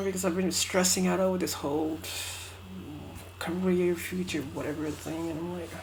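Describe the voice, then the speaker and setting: Audible room echo surrounds the voice. A woman speaks at a moderate pace. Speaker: vlogger. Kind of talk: casual vlog monologue. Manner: halting, many fillers and restarts.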